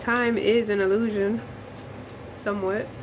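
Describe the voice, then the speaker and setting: The speaker is a woman, talking very slowly. There is noticeable noise behind her. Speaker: spiritual livestreamer. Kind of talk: casual chat. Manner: soft-spoken.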